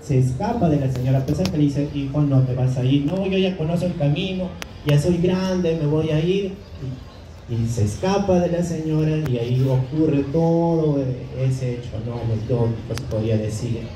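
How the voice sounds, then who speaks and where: Audible room echo surrounds a man's voice. He speaks at a moderate pace with a fairly high pitch. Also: ordinary pitch variation. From Peru, Ayacucho highlands. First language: Quechua (speaking Spanish). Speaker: author. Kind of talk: book presentation talk. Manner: hesitant, many fillers.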